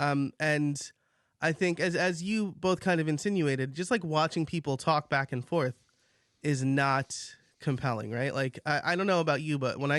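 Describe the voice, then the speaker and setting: A man with a fairly high pitch speaks at a fairly quick pace in an ordinary speaking voice, with ordinary pitch variation and very even loudness. The sound is dry and close with no echo, over a quiet background. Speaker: podcaster. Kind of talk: debate.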